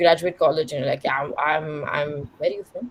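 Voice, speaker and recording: A woman's voice with noticeable background noise. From India, Bangalore. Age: 20s. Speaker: queer content creator and educator. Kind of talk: panel talk answering audience questions. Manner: casual, filler-heavy.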